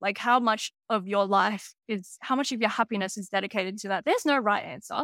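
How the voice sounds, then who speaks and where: With an Australian accent, a woman speaks fairly quickly at a fairly high pitch, her bright, sharp tone captured in a dry, close sound with no echo. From Sydney, Australia. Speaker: business strategy analyst. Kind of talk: podcast interview.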